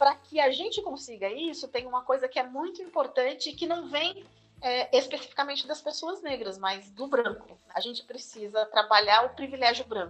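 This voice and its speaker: At a moderate pace with hardly any pauses, a woman speaks in a high pitch with lively intonation. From Osasco, Greater São Paulo, Brazil. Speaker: university professor. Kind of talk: interview. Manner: halting.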